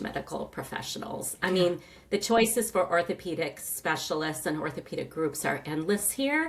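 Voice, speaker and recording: There is noticeable background noise. A woman with a fairly low pitch speaks at a moderate pace. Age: 60s. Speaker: retired knee replacement patient. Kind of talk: interview testimony. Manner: conversational, with frequent fillers.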